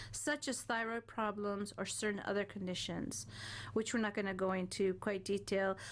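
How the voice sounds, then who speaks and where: A woman with a plain, everyday voice talks at a moderate pace. Her loudness stays very even on a very clean recording with a silent background. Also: medium pitch for a woman, fairly even intonation. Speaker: wellness show co-host. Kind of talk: reading aloud. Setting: radio studio.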